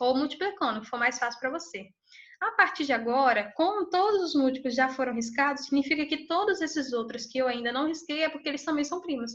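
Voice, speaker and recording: Against a quiet background, the speaker moves at a fairly quick pace with lively intonation. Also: woman, high pitch for a woman. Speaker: math teacher. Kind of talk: lecture.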